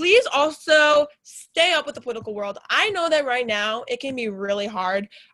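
Raised and projected, a woman's high-pitched voice comes through with a bright, sharp tone and an American accent. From Chicago suburbs, Illinois. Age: 20s. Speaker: college radio host. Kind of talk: casual chat. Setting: studio. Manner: talkative, fast.

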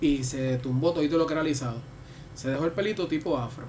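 A man talks at a very fast pace in a Puerto Rican accent, his pitch fairly high. Noticeable background noise runs behind him. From Puerto Rico. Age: 30s. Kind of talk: casual chat.

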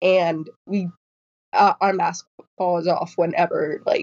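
A woman speaks slowly with a slightly mellow tone. Her pitch sits fairly low, and her intonation stays fairly even.

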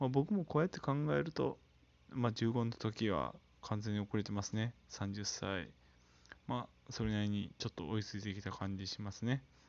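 An ordinary speaking voice at a moderate pace with lively intonation. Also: man, fairly low pitch for a man. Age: 30s. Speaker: solo podcaster. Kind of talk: casual solo monologue. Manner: casual, filler-heavy.

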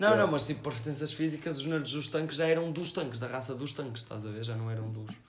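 A fairly high-pitched man talking at a very fast pace with hardly any pauses, audible room echo and noticeable background noise. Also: ordinary pitch variation. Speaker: amateur surf instructor. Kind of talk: casual chat.

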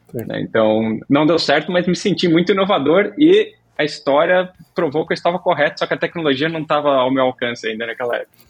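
This man's voice sits fairly high in pitch. He talks at a fairly quick pace with lively intonation. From Brazil, moved around (Santa Catarina, Minas, São Paulo). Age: 40s. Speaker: tech company CEO. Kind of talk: interview.

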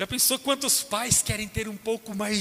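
A man with a Brazilian accent uses a raised, projected voice. His tone is bright and sharp, and his intonation fairly even. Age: 30s. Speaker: pastor. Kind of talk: sermon.

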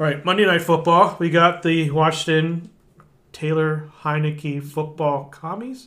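This man has a plain, everyday voice with fairly high pitch. He talks at a fairly slow pace. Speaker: podcast co-host. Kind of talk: casual sports chat.

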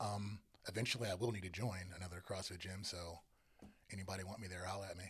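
A man with an American accent, very deep and low in pitch, somewhat breathy, monotone and flat, at a very fast pace. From Northern Virginia. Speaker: photographer and content creator. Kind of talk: casual interview chat.

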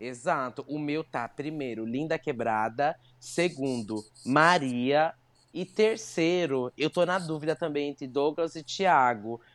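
Over a very clean, silent background, a woman with a very deep, low pitch speaks at a very slow pace with lively intonation. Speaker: podcast co-host. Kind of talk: casual chat. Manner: animated.

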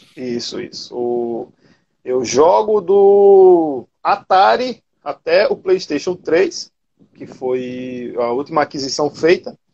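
A man talks at a very slow pace with a fairly high pitch. His pitch swings very widely, and his loudness rises and falls a lot. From Paraíba, Brazil (Cabedelo). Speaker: retro gaming content creator. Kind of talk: casual interview chat.

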